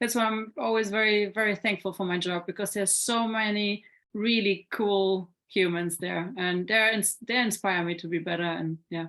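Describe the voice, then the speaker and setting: In an ordinary speaking voice, with hardly any pauses and fairly even intonation, the speech runs at a moderate pace on a very clean recording with a silent background. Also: woman, medium pitch for a woman. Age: 30s. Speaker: former kickboxing fighter and coach. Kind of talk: interview.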